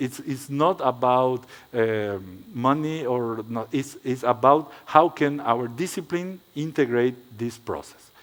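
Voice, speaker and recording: A man with a non-native accent at a medium pitch with ordinary pitch variation, at a very slow pace with hardly any pauses. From Paraguay. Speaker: architect. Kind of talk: lecture. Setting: stage with audience. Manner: halting.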